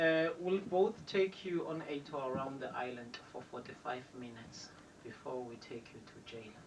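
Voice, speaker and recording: Against noticeable background noise, a man talks at a fairly high pitch with lively intonation. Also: moderate pace, big swings in loudness. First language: Xhosa. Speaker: tour guide. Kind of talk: guided tour commentary. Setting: tour bus.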